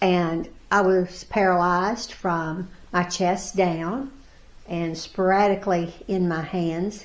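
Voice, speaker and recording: There is audible room echo around this woman's voice. She speaks at a very slow pace. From US South, Pulaski County, Virginia. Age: 70s. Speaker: para-athlete. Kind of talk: interview. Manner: halting.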